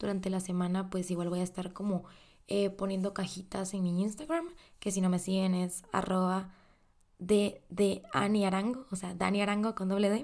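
A woman's medium pitch at a moderate pace, a normal speaking voice. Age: 20s. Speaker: podcast host. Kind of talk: casual monologue.

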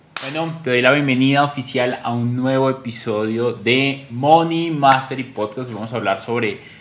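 A man's moderately paced speech, with ordinary pitch variation, competes with noticeable background noise. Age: 30s. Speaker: podcast host, personal finance educator. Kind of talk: motivational monologue.

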